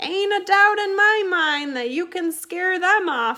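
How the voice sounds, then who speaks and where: Putting on a character voice, a woman speaks at an extremely high pitch and a fairly slow pace. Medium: read story. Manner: blunt, folksy.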